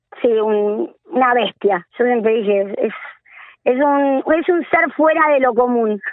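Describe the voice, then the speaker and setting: At a very slow pace, a woman with a high pitch speaks with lively intonation and very even loudness. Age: 40s. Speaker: women's rugby coordinator. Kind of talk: interview. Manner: animated.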